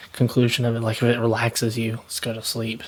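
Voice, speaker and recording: Soft-spoken and whispering, a man talks against noticeable background noise. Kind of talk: ASMR whispered ramble. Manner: soft-spoken, whispered.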